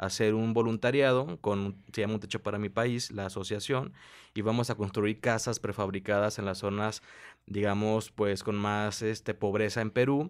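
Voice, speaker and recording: A man talks at a moderate pace and a fairly low pitch. The background is quiet. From Mexico. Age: 20s. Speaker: entrepreneur, business incubator director; interview guest. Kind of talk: interview. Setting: coworking space. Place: studio. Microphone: studio mic.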